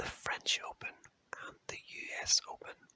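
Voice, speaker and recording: Whispering in a Belfast accent, with a soothing tone and a fairly slow pace. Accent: Northern Irish, Belfast. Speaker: ASMR creator. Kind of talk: whispered ASMR fact reading. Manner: slow, soothing.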